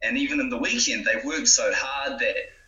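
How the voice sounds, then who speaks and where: The speaker is a man. He has a New Zealand accent. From New Zealand, Gisborne. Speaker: small business founder. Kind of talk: interview.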